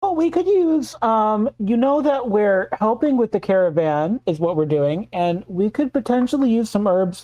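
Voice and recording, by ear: A woman speaks at a moderate pace with few pauses, her medium-pitched voice dark and mellow with lively intonation.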